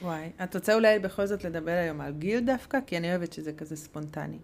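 Speaking very fast with hardly any pauses, a woman uses a fairly low pitch and ordinary pitch variation. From Hungary. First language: Hungarian (speaking Hebrew). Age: 30s. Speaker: podcast co-host, mother. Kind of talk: casual chat.

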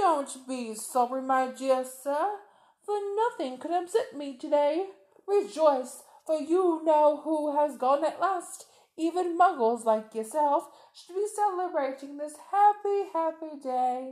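A woman's squeaky, high-pitched put-on character voice, fairly slow, with lively intonation and big swings in loudness. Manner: excited, joyful.

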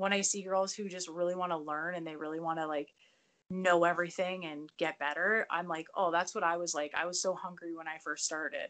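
A woman with a Canadian accent speaks in a fairly low pitch with fairly even intonation, an unremarkable speaking voice. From southern Ontario, Canada. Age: 30s. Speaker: professional wrestler. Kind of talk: casual chat.

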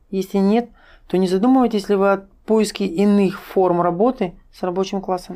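At a moderate pace, a woman talks in an unremarkable speaking voice with fairly even intonation. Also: medium pitch for a woman. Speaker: stream host reading viewer questions. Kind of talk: interview, moderating questions. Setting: live online stream.

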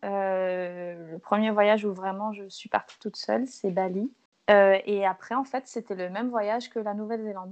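A woman with a medium pitch talks at a fairly slow pace and fairly even intonation. She hardly pauses at all. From Martinique. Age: 20s. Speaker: travel Instagrammer and photographer. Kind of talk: casual chat. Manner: hesitant, many fillers.

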